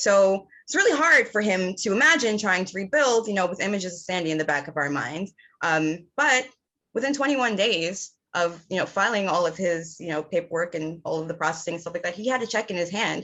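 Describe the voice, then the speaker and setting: A woman with a plain, everyday voice speaks at a medium pitch and a fairly quick pace with lively intonation. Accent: American. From New York City, the Bronx. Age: 30s. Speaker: campaign volunteer. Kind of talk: personal testimony.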